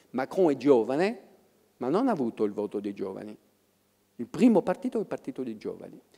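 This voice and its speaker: A man talks at a fairly quick pace in a fairly high, dark, mellow voice, with long, frequent pauses. His pitch swings very widely and his loudness varies greatly, against a quiet background. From France. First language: French (speaking Italian). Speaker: professor of political history; public guest. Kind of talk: public talk. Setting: stage with audience. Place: stage. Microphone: handheld.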